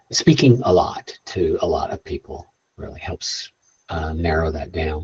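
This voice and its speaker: Soft-spoken, a man talks in a dry, close sound with no echo. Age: 60s. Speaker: space tech entrepreneur and guest speaker. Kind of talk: bootcamp Q&A talk. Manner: casual, halting with fillers.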